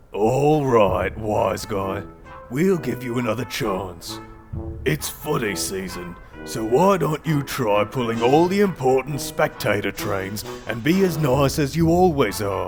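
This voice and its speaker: A man puts on a character voice at a medium pitch and a fairly slow pace. Clear music plays in the background. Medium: audio drama.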